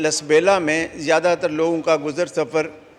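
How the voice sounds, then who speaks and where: A man's fairly high voice comes through over noticeable background noise. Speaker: member of parliament. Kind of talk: parliamentary speech in national assembly. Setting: assembly hall.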